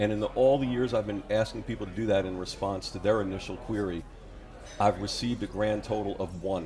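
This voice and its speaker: Fairly low in pitch, a man speaks with an American accent at a fairly quick pace. His intonation stays fairly even, and audible room echo surrounds him. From New York. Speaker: author. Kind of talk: interview on talk show.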